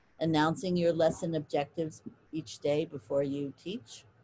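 The voice has a dark, mellow tone and moves at a moderate pace. Light background noise can be heard. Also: woman. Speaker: professor; lecturer, reading education professor. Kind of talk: lecture. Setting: video call.

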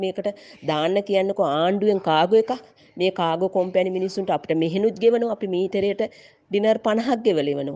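At a fairly slow pace, a dark, mellow tone carries ordinary pitch variation. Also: woman. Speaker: migrant worker. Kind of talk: voice message plea.

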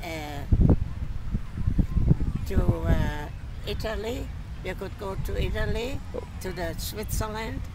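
A woman speaks at a very slow pace, stopping often for long pauses. Loud background noise sits over a dry sound with no echo. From Germany. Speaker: centenarian friend recalling childhood. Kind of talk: interview answer. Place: open country. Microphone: camera far.

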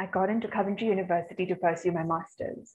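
A woman speaks at a very fast pace. Her voice is somewhat breathy. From India, Chennai; India. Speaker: peace educator and researcher; peace educator. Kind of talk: webinar presentation. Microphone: webcam.

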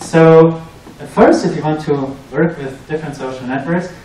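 Spoken in a German accent, the clip has audible room echo and light background noise. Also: man. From Germany. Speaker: researcher and PhD student; presenter. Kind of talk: tech talk presentation. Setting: meetup with live audience. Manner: hesitant, many fillers. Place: meeting room.

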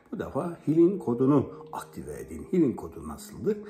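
Music can be heard clearly behind the voice. The one talking is a man. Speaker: self-help guide. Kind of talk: guided meditation instruction. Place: home room. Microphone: phone near.

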